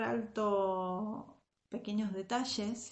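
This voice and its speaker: Somewhat breathy, a woman's voice comes through at a fairly high pitch. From Argentina, Zárate. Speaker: Sunday school and youth teacher. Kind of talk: devotional talk to young women. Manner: hesitant, many fillers.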